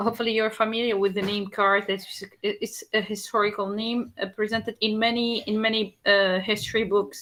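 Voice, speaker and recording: Speaking in an Arabic accent, a woman with a fairly high pitch talks at a moderate pace in a monotone, flat intonation, recorded very cleanly against a silent background. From Tunisia. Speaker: country presenter. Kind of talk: presentation. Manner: halting.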